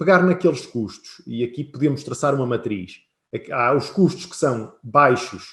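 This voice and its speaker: Somewhat breathy and fairly high in pitch, a man with a European Portuguese accent speaks with lively intonation. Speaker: business consultant. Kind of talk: webinar presentation.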